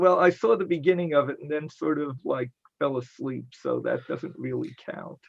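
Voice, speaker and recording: A man speaks at a moderate pace in an upstate New York accent. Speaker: science fiction convention organizer. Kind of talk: panel discussion.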